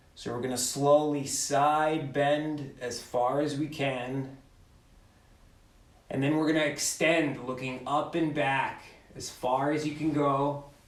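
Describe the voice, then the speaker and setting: A man with a fairly high pitch talks at a very slow pace in a monotone, flat intonation, with audible room echo. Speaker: mobility instructor. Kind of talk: guided exercise class. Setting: video call. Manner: loud; slow, instructive.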